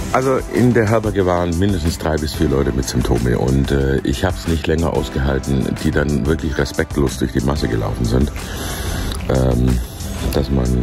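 Clear music plays in the background as the voice moves at a fairly quick pace with ordinary pitch variation, the sound dry with no echo. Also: man. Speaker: pilgrim vlogger. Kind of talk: casual vlog chat. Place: street. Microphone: phone near.

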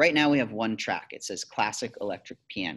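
A man talks at a moderate pace, with a quiet background behind him. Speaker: teacher. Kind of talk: tutorial. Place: classroom. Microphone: webcam.

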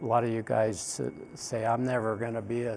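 Speaking at a fairly slow pace in a dark, mellow tone, a man is heard over light background noise. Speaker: instructor. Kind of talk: lecture. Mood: relaxed, informal. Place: classroom. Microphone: lapel.

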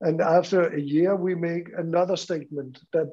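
Speaking with a Danish accent, a man goes at a fairly slow pace. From Denmark. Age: 60s. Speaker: school principal; school teacher presenting. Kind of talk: conference presentation. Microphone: video call.

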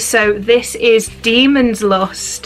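Faint music plays in the background while a woman speaks. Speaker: unboxing vlogger. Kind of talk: casual vlog chat. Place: home room. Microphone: camera far.

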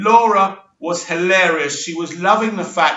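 Speaking at a fairly slow pace with an English accent, a man uses ordinary pitch variation as the room's echo is audible. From England. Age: 40s. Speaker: YouTube reality TV commentator. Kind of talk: casual monologue reaction video. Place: home room. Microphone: webcam.

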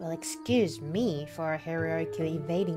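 A woman is speaking. Music plays clearly in the background. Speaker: Twitch streamer. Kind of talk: casual gameplay commentary. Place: home room.

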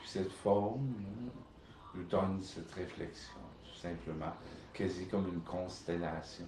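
Somewhat breathy and dark, mellow in tone, a man with a very deep, low pitch speaks at a fairly slow pace with fairly even intonation and long, frequent pauses. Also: big swings in loudness. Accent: Quebec. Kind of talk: casual monologue. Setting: home video recording. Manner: halting.

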